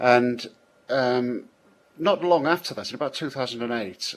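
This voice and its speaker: Speaking at a moderate pace, a man with a British accent uses lively intonation. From Britain. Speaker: software programmer, scripter. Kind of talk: interview. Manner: hesitant, many fillers and restarts.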